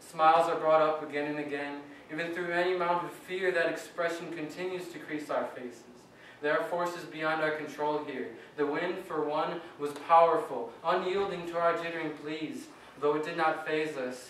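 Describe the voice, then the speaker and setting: A man's fairly high, monotone, flat voice with an American accent, at a moderate pace over noticeable background noise. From Wisconsin. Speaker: slam poet. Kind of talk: slam poetry performance. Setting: live poetry slam, open mic.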